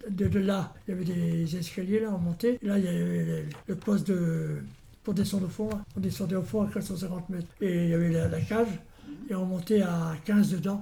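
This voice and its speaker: A man's high-pitched, dark, mellow voice at a moderate pace, with fairly even intonation. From Normandy, France. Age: 80s+. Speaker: retired miner. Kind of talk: interview testimony. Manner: halting.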